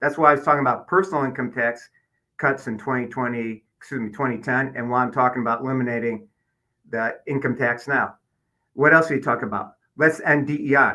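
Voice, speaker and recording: Talking at a fairly quick pace, a man uses a Midwestern American accent and a medium pitch. His tone is bright and sharp, with fairly even intonation. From Michigan, Detroit area. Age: 60s. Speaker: political candidate. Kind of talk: interview.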